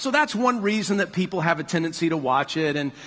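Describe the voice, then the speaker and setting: The speaker moves at a fairly quick pace with lively intonation. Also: man. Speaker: pastor. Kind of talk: sermon. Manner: fast; animated.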